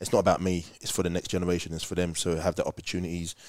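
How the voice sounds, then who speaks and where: A man's very deep, low pitch in monotone, flat intonation at a very fast pace. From southern England, Slough. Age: 40s. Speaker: former professional footballer. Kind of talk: casual chat.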